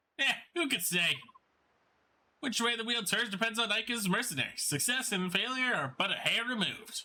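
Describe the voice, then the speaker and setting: A man's put-on character voice, extremely high-pitched, at a moderate pace. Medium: game stream.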